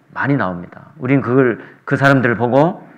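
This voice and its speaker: A man at a medium pitch and a fairly slow pace, with audible room echo. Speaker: visiting preacher. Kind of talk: sermon. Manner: soft-spoken.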